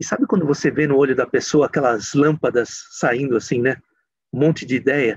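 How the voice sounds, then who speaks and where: Against a quiet background, a man with a fairly high voice talks at a fairly quick pace, with ordinary pitch variation and very even loudness. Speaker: speaker. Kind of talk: lecture.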